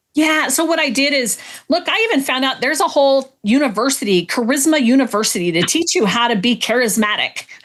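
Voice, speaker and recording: Speaking at a fairly quick pace with hardly any pauses, a woman uses a high voice at a very even loudness. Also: lively intonation. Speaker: entrepreneur and business mentor. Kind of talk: interview. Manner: matter-of-fact.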